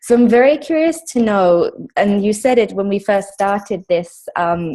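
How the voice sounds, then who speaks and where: A woman with a South African accent, fairly high in pitch, dark and mellow in tone, at a moderate pace. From England. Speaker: webinar attendee. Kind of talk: casual Q&A chat. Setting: video call.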